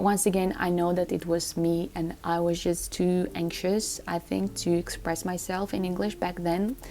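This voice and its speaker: A woman's fairly low, monotone, flat voice with a non-native accent, at a moderate pace with hardly any pauses. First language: not English. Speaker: lifestyle vlogger. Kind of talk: casual vlog talk to camera. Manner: halting with self-corrections.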